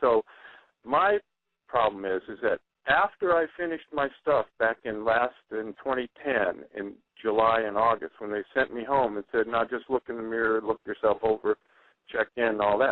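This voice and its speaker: With an unremarkable speaking voice, a man talks at a moderate pace, his medium pitch showing ordinary variation. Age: 60s. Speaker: guest on talk radio sharing cancer experience. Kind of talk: radio interview. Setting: internet radio show.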